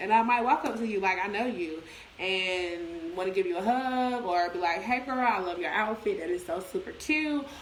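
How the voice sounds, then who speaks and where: Audible room echo and noticeable background noise surround a woman speaking at a medium pitch. She keeps a moderate pace with lively intonation. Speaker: business promoter. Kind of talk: casual livestream talk. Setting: livestream. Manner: loud; animated.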